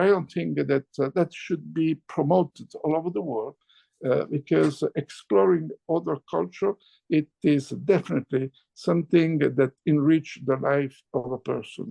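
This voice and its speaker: A man with an Italian accent, fairly high-pitched and fairly slow, with very wide pitch swings. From Italy. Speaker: chairman of a publishing house. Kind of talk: interview.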